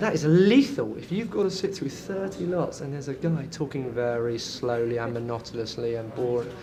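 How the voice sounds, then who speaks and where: Speaking at a fairly quick pace with very wide pitch swings, a man is heard over noticeable background noise. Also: fairly high pitch for a man, hardly any pauses. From London, England. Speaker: property auctioneer. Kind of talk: interview answer. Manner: energetic, loud, fast-talking.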